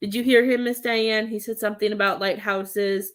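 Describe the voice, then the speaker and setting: Here a woman speaks at a medium pitch. Her pitch variation is ordinary. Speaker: psychic medium. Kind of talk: live-stream reading. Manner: loud.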